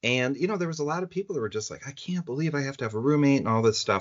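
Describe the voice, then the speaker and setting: Very fast and with very wide pitch swings, a man rattles through his words. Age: 50s. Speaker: former OCD patient. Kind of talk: podcast interview answer. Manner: casual, conversational.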